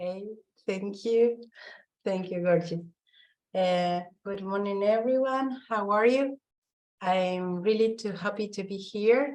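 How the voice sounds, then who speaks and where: Very slow and broken by long, frequent pauses, a woman of medium pitch with a non-native accent speaks with ordinary pitch variation. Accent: non-native English speaker. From Argentina. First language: Spanish. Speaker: visual artist and curator. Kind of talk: online talk. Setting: online video session.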